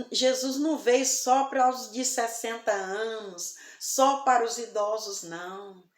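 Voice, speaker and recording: A woman with a fairly high pitch talks in a room with audible echo. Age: 60s. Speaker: evangelical preacher. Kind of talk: sermon. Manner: soft-spoken.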